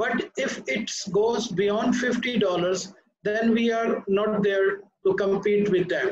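Audible room echo surrounds a man speaking at a very slow pace. His voice is high-pitched, with fairly even intonation. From Pakistan. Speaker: ship recycling executive; panelist. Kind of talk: panel discussion. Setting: video call. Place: office. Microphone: webcam.

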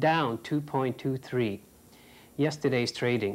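A man is talking. He keeps a moderate pace. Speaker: business correspondent. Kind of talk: TV business news report. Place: studio.

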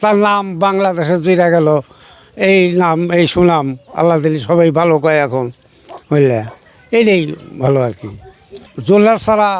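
Noticeable background noise accompanies this man. His pitch is high and his intonation lively. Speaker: father of a village inventor. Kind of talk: interview.

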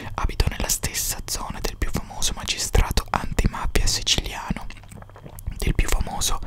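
A soft-spoken man whispering at a moderate pace, dry sound with no echo, loud background noise behind him. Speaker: narrator, storyteller. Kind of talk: narrative reading, audiobook-like. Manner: soft close-mic whisper. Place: home room. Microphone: studio mic.

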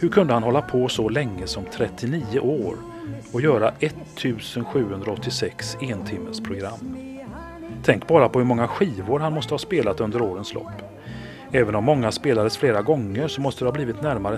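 Music plays in the background. The speaker keeps a moderate pace with lively intonation. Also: man, medium pitch for a man. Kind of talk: documentary narration in a promo for a radio profile.

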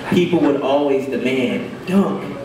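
A man talks fairly slowly while noticeable background noise and audible room echo surround him. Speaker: poet. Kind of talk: poetry reading. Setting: open mic at a cafe. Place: cafe.

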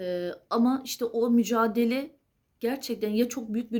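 The woman's voice carries a dark, mellow tone. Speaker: astrology video creator. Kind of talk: solo monologue to camera. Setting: at home late at night.

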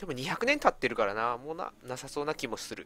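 A man's fairly high, bright, sharp voice at a fairly quick pace, with ordinary pitch variation. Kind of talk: casual gameplay commentary.

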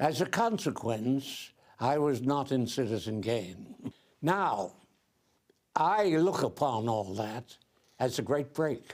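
With an American accent, a man speaks at a very slow pace with long, frequent pauses, very wide pitch swings and very even loudness against a quiet background. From New Jersey. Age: 80s+. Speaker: actor. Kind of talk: interview answer. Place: home room.

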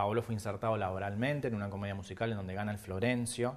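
Speaking at a fairly quick pace, a man keeps his fairly low pitch and his intonation fairly even. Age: 40s. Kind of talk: TV interview. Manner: halting, many fillers and repetitions. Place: studio. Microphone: lapel.

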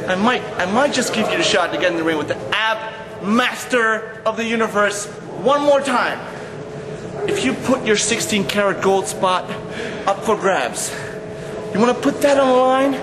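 Noticeable background noise sits behind a man speaking at a moderate pace. He leaves long, frequent pauses. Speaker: pro wrestler. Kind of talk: wrestling promo, a taunting, boastful trash-talk challenge response. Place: empty room. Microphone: camera far.

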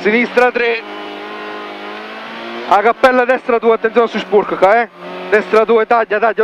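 Against noticeable background noise, a man with a high pitch speaks in a monotone, flat intonation. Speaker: rally co-driver. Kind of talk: rally pace notes read in the car. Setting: inside a rally car.

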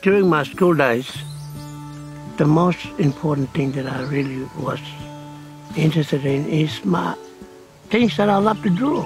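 Clear music plays in the background of a dry recording with no echo. A man speaks with lively intonation. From Tiwi Islands, Northern Territory, Australia. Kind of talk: interview answer. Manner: soft-spoken. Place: open country.

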